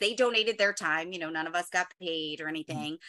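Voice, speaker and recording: Intonation rises and falls lively as a woman speaks. Her pace is very fast. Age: 40s. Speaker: stand-up comedian and former teacher. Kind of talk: casual chat. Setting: video call.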